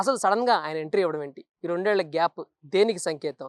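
This is a woman with an unremarkable speaking voice at a medium pitch. The recording is very clean with a silent background. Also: dry, close sound with no echo. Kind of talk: news analysis narration.

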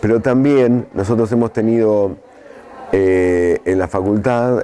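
A man's clear, smooth tone, dark and mellow, with fairly even intonation.

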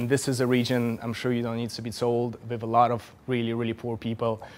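Over light background noise, a man speaks at a fairly quick pace. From Russia. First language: Russian. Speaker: journalist. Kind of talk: lecture. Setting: stage with audience. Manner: halting. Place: hall. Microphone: podium.

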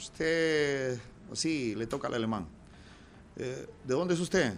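Light background noise sits behind a man speaking at a fairly slow pace. His fairly high voice has lively intonation. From Peru. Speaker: comedian and radio announcer; comedian, radio announcer. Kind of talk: casual interview chat; telling jokes in an interview. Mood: jovial, joke telling. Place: studio. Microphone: studio mic.

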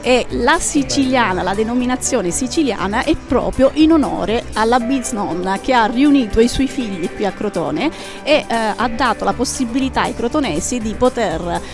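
A woman speaks over clear background music. The sound is dry, with no echo. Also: moderate pace. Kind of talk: interview answer. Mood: proud, warm. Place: cafe. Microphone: headset.

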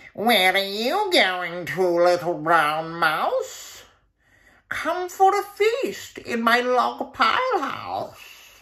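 Here a man puts on a character voice. It is high-pitched and very slow. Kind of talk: children's picture-book reading. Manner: sly, coaxing, then scared.

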